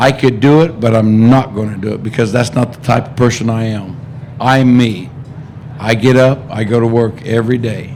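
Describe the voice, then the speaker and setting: Amid noticeable background noise and audible room echo, a man with a medium-pitched voice speaks at a moderate pace with fairly even intonation. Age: 60s. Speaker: racehorse co-owner. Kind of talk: press conference.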